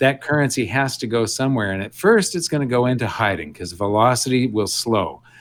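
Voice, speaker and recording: A man speaks with an American accent at a fairly quick pace, his pitch medium. His intonation is lively, and he hardly pauses at all. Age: 60s. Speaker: investment educator. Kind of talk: interview. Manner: animated.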